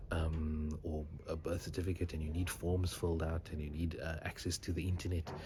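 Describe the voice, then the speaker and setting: Whispering at a moderate pace, a man sounds somewhat breathy. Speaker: doctor. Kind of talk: vlog. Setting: library.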